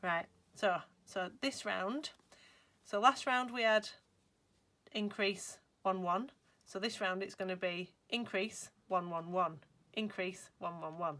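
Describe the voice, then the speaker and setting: In a Lancashire accent, a woman speaks with a bright, sharp tone at a medium pitch and ordinary pitch variation, at a very slow pace with long, frequent pauses. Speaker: crochet designer. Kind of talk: crochet tutorial talk to camera. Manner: chatty, cheerful.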